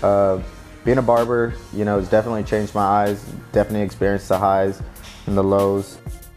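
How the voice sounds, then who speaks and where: Very fast and monotone, a man with a fairly low pitch speaks in an American accent over faint background music. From San Jose, California. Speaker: barber. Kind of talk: interview answer. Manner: casual, reflective. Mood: reflective, warm. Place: shop.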